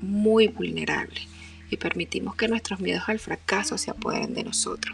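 Female speech at a moderate pace amid noticeable background noise. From Venezuela, Barquisimeto. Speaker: podcast host and author. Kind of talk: inspirational monologue.

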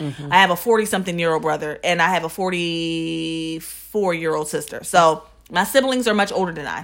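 A woman talks with hardly any pauses in an American accent, her pitch fairly low. Hers is an unremarkable speaking voice. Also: ordinary pitch variation, moderate pace. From New Jersey suburbs. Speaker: podcast co-host. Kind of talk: casual chat.

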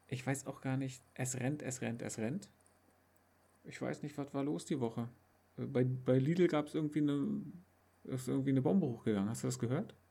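With a dark, mellow tone, a man speaks at a moderate pace and medium pitch, using ordinary pitch variation and long, frequent pauses. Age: 30s. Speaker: podcast co-host. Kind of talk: casual chat.

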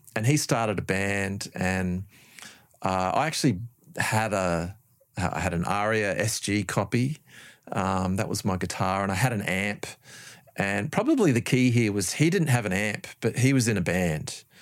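A man with an Australian accent and ordinary pitch variation, in a very clean recording against a silent background. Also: fairly low pitch for a man, moderate pace. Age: 50s. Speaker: music producer and lecturer. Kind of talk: casual chat. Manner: halting.

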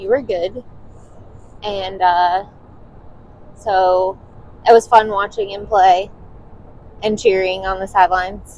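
Speaking at a very slow pace with long, frequent pauses, a woman of medium pitch keeps a monotone, flat intonation while her loudness swings widely. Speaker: podcast co-host. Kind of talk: casual chat. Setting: in a car.

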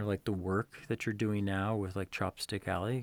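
A man talks at a moderate pace and a fairly low pitch. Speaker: podcast host. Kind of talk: casual interview. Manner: halting, many fillers.

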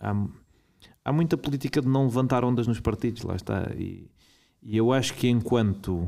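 A man with a European Portuguese accent, a dark, mellow tone and long, frequent pauses. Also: medium pitch for a man, ordinary pitch variation, moderate pace. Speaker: political commentator. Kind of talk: interview.

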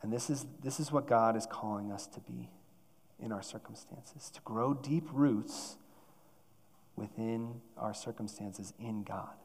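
A man speaks at a fairly slow pace and medium pitch with ordinary pitch variation, leaving long, frequent pauses. His loudness swings widely, and audible room echo is present. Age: 30s. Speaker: church staff preacher. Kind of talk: sermon. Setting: church.

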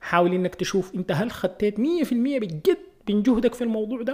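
A man at a fairly quick pace. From Sudan. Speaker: podcast host and video creator. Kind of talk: solo podcast monologue. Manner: casual, hesitant with fillers.

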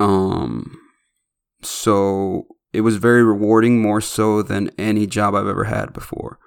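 In a very clean recording with a silent background, a man speaks fairly low. His pace is fairly slow and his intonation fairly even. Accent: American. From Chicago, west side. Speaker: podcast host. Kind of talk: casual monologue. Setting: home studio.

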